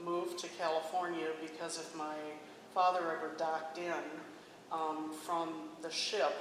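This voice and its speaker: A woman with an Upper Midwest accent speaks fairly slowly at a fairly low pitch in a flat monotone, with audible room echo and noticeable background noise. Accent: Upper Midwest American. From US Midwest, South Dakota. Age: 70s. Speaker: interviewee sharing life story. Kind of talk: oral history interview. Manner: halting, many fillers.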